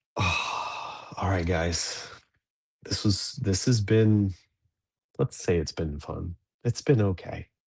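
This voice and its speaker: A man speaks at a very slow pace with long, frequent pauses and a fairly low, somewhat breathy voice. His pitch varies in an ordinary way against a quiet background. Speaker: livestream host of a dads' show. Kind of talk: casual livestream chat. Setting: livestream from an office. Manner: quiet, low-pitched early-morning talk.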